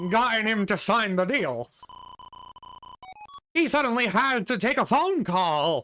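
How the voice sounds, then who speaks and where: Using a put-on character voice, someone speaks at a fairly slow pace and fairly high pitch, with long, frequent pauses. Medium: game stream. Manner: theatrical, self-pitying.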